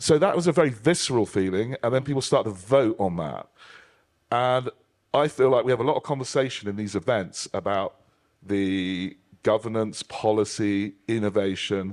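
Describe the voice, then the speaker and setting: A man with a British accent speaks at medium pitch and a moderate pace. His pitch varies in an ordinary way on a very clean recording with a silent background. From United Kingdom. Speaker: panel moderator. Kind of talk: panel discussion. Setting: stage with audience.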